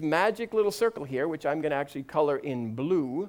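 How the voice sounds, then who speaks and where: Very wide pitch swings and an animated tone fill a man's speech at a very fast pace. The recording is very clean, with a silent background. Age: 50s. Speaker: pastor. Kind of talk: sermon.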